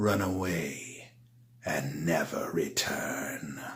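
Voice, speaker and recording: Using a put-on character voice, a man speaks at a very slow pace with a very deep, low pitch, and the recording has audible echo. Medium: read story. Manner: sly, sneering.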